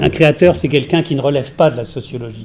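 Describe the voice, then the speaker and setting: A man with an unremarkable speaking voice talks at a fairly quick pace in a fairly high pitch, keeping his intonation fairly even. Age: 60s. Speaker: art curator and critic. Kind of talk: panel discussion. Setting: round table with audience.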